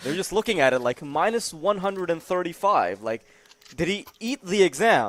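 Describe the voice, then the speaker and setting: A man's high, animated voice with a non-native accent, very wide pitch swings and a moderate pace. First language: not English. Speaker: esports commentator. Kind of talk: live commentary.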